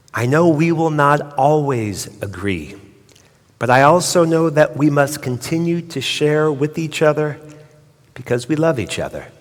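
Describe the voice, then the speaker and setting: Amid audible room echo, a man with an American accent speaks at a fairly slow pace with ordinary pitch variation. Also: fairly high pitch for a man. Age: 60s. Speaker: rabbi. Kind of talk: sermon.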